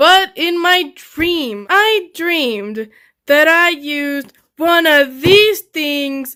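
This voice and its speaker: Projecting a raised voice, a woman talks at a very slow pace with a bright, sharp tone and lively intonation over a quiet background. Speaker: fursuit maker / craft vlogger; craft vlogger. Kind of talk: crafting vlog narration. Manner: casual, chatty; loud and clear. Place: home room. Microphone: phone near.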